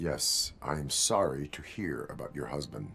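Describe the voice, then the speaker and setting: A man puts on a character voice with a very deep, low pitch, speaking at a moderate pace over clear background noise. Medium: video game. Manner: flat, monotone, formal.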